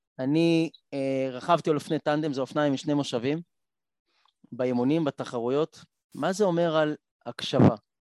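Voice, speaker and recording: A man with a fairly high voice speaks at a moderate pace in fairly even tones, leaving long, frequent pauses, in a dry, close recording with no echo. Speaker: blind triathlete and motivational speaker. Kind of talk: panel discussion.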